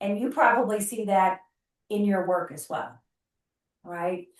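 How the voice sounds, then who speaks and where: At a moderate pace, a woman speaks in a normal speaking voice of medium pitch with ordinary pitch variation. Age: 60s. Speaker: gerontologist. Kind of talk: presentation to a networking group. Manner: conversational.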